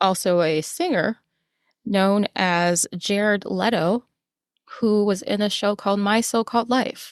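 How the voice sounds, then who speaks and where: An unremarkable speaking voice from a woman with an American accent, medium pitch and ordinary pitch variation, talking at a fairly slow pace with very even loudness in a very clean, dry, close recording with no echo and a silent background. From New York City. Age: 40s. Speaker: podcast co-host. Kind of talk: casual chat.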